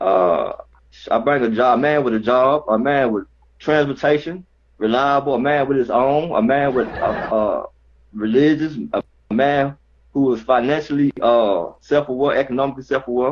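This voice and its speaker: Speaking at a moderate pace with a Southern US accent, this man has a fairly high pitch, ordinary pitch variation, and very even loudness. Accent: Southern country dialect. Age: 30s. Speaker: caller, warehouse worker. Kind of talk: call-in chat. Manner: halting.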